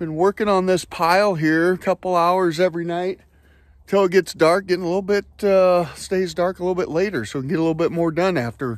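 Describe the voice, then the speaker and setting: The delivery is fairly quick, with fairly even intonation and a dry sound with no echo. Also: man, high pitch for a man, quiet background. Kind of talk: casual vlog chat. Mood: relaxed, joking. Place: open country. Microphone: phone near.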